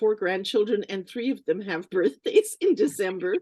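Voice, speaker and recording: A woman with a Canadian accent speaks at a moderate pace. Her tone is dark and mellow, with ordinary pitch variation. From Canada. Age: 70s. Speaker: singer and vocal coach. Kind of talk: interview. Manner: halting, many fillers.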